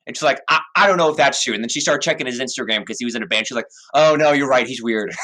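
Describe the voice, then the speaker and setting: With a bright, sharp tone, a man talks very fast at a medium pitch and with ordinary pitch variation. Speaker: podcast co-host. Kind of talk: casual chat. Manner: stuttering at times.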